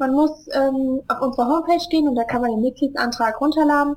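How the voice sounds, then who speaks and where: The woman's speech shows ordinary pitch variation. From Germany, Hesse (Wiesbaden). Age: 20s. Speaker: charity founder. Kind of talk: interview. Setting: Skype call.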